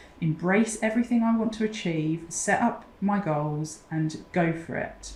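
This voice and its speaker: A woman's voice with a southern English accent. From southern England, Oxfordshire. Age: 40s. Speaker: mental health support founder. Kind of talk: interview.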